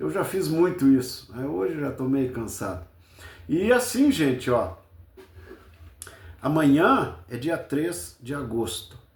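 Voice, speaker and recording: A man with a southern Brazilian accent speaks at a very slow pace with long, frequent pauses. His fairly high pitch swings very widely, and room echo is audible. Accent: gaúcho Brazilian Portuguese. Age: 70s. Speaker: football fan commentator. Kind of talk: casual post-match commentary.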